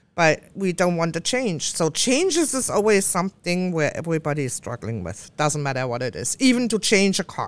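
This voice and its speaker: A woman's fairly low voice with a German accent, very wide pitch swings, a fairly quick pace and hardly any pauses, in a very clean recording with a silent background. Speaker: co-host and psychic medium. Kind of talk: casual chat.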